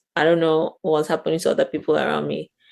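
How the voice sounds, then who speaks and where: Vocal fry marks a woman's speech, and the background is quiet. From Cameroon, southwest region. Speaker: international student. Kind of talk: interview. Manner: casual, hesitant fillers.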